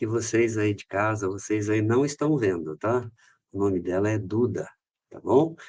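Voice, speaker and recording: A man's plain, everyday voice, fairly low in pitch with ordinary pitch variation, big swings in loudness and a fairly slow pace, over a quiet background. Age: 60s. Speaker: company director, podcast guest. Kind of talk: podcast interview. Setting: studio.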